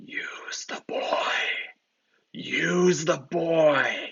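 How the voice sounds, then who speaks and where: A put-on character voice is heard. It growls and whispers. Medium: read story. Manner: menacing.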